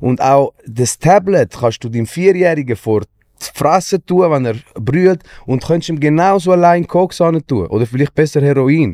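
A dark, mellow tone with lively intonation at a fairly slow pace, dry and close with no echo. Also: man, fairly high pitch for a man. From Switzerland, Wetzikon. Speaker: musician. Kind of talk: casual chat.

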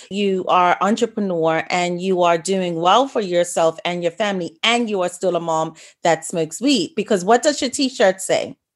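An unremarkable speaking voice from a woman, moderate pace, ordinary pitch variation, hardly any pauses, quiet background. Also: medium pitch for a woman. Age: 40s-50s. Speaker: podcast host. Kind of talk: podcast interview; scripted intro.

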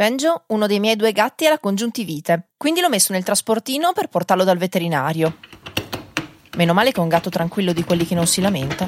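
The sound is dry and close with no echo as a woman talks at a very fast pace. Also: medium pitch for a woman, lively intonation. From northern Italy, Reggio Emilia. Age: 30s. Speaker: podcaster. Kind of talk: personal storytelling.

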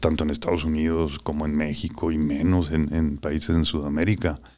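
In a very clean recording with a silent background, a man with a very deep, low pitch and a dark, mellow tone talks at a moderate pace. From northern Mexico, Chihuahua. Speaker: business executive. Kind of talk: interview. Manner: halting.

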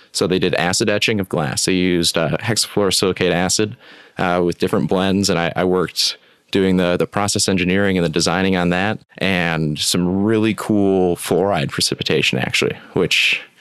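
With an American accent, a man speaks fairly quickly in a very deep, low pitch, keeping fairly even intonation and very even loudness. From West Michigan. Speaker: water treatment professional. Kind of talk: casual interview.

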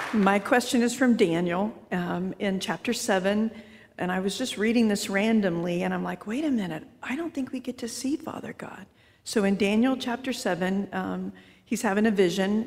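Moderately paced, somewhat breathy speech with ordinary pitch variation. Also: woman, medium pitch for a woman. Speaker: audience member.

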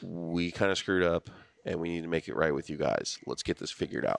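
With an American accent, a man speaks in a very deep, low pitch with vocal fry. The background is quiet. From Southern California, Kern County. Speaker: retired Coast Guard veteran. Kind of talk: casual chat. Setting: studio.

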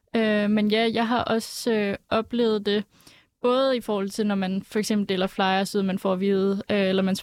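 With monotone, flat intonation, a woman talks at a medium pitch and a moderate pace. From Aalborg, Denmark. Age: 20s. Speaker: parliamentary candidate. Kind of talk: panel discussion.

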